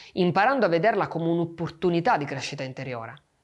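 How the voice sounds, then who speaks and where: The background stays quiet. A man talks very fast. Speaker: meditation teacher. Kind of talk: guided meditation and reflective talk. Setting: video. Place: studio.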